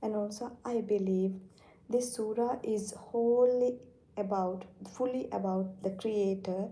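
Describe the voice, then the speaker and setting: A woman with a non-native accent speaks fairly slowly at a fairly high pitch, her intonation fairly even. Her tone is dark and mellow, and audible room echo surrounds her voice. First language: not English. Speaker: Islamic teacher streaming live. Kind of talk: live-stream religious talk. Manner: halting.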